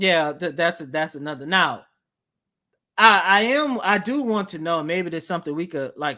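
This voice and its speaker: In a very clean recording with a silent background, a man with a high pitch speaks at a moderate pace in a bright, sharp, animated tone with lively intonation. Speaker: sports podcast co-host. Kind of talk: casual sports podcast chat.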